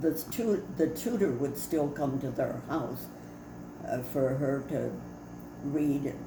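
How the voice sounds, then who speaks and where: A woman with an American accent at a very slow pace, with long, frequent pauses, ordinary pitch variation, audible room echo and noticeable background noise. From Detroit, US Midwest. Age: 90s. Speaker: family storyteller. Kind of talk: oral history interview. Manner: halting.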